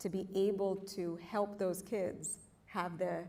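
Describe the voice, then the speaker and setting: A woman with an American accent speaks with a fairly low pitch, a dark, mellow tone and vocal fry, her intonation flat and monotone amid audible room echo. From outside the US. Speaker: panelist, industry leader. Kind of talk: panel discussion. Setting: stage with audience.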